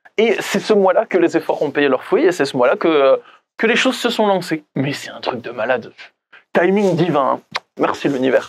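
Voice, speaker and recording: With lively intonation, a man with a normal speaking voice talks at a moderate pace. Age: 30s. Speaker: life coach and author. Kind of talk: personal vlog monologue. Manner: casual, conversational with fillers.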